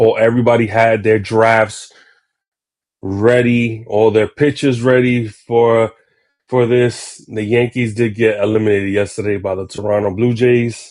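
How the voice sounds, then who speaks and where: With monotone, flat intonation, a man talks in a medium pitch. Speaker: sports podcast host. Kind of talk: casual sports talk. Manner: halting, many fillers.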